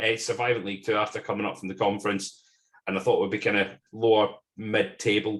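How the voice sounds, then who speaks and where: A man talks at a fairly quick pace with a Scottish accent. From Scotland. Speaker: football fan podcast guest. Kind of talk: casual chat.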